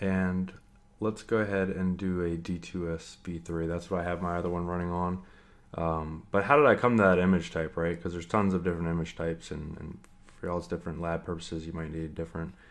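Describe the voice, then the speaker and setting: A man's very deep, low pitch in monotone, flat intonation. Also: fairly quick pace. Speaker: network engineer tutorial creator. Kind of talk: screen-share tutorial. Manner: casual, many fillers (um, uh). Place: home room.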